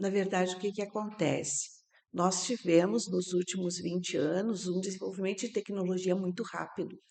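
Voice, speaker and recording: An ordinary speaking voice with fairly even intonation, at a moderate pace. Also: woman, medium pitch for a woman. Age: 60s. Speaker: systemic organizational therapist. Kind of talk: podcast interview.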